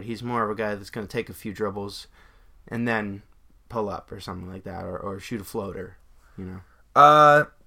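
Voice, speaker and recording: A man mumbles in a put-on character voice at a moderate pace, his pitch fairly low. His loudness swings widely, and the recording is very clean with a silent background. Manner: mumbling, indistinct.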